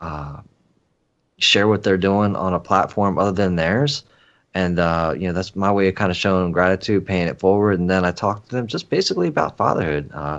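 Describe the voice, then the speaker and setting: A man with an American accent speaks at a fairly quick pace with a very deep, low pitch. His pitch varies in an ordinary way, and the background is quiet. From Philadelphia suburbs. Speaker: podcaster, father. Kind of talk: casual chat.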